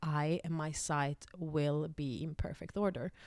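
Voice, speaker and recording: A woman with a Swedish accent speaks at a very deep, low pitch with fairly even intonation on a very clean recording with a silent background. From Finland (Swedish-speaking Finn). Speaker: spiritual vlogger. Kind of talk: personal testimony. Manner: halting, many fillers.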